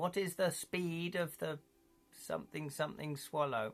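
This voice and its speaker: In a gruff, put-on character voice, a man talks at a moderate pace with a fairly high pitch. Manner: comedic, quoting a film line.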